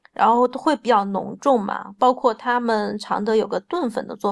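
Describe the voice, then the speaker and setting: A woman speaks with a fairly high pitch and vocal fry. Her pitch varies in an ordinary way. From Changsha, Hunan, China. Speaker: food blogger and home cook. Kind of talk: casual chat.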